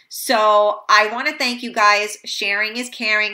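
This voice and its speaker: A woman talks fairly slowly in a bright, sharp, animated tone on a very clean recording with a silent background. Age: 40s. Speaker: talk show host. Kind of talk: casual chat. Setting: studio.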